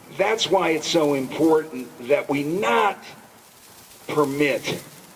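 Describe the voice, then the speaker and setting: A man speaks with a fairly high pitch. Noticeable background noise runs under his voice. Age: 70s. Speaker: jazz festival organizer. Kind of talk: speech at a rally. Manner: impassioned.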